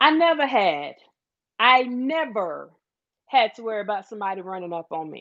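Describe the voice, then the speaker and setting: Against a quiet background, a woman with a Southern US accent speaks in an animated tone. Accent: Southern drawl. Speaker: livestream host. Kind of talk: casual livestream chat.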